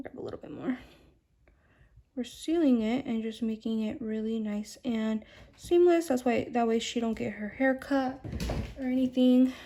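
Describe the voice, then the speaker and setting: Delivered at a moderate pace with ordinary pitch variation, this dark, mellow voice has big swings in loudness and long, frequent pauses. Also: woman, high pitch for a woman. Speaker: nail art creator. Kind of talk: tutorial.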